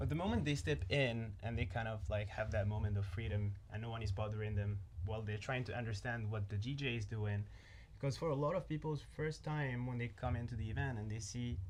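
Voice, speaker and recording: Somewhat breathy and fairly low-pitched, a man talks at a fairly quick pace with ordinary pitch variation, audible room echo around him. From Morocco, Marrakesh. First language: not English (English is third language). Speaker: nightlife event organizer. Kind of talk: casual chat.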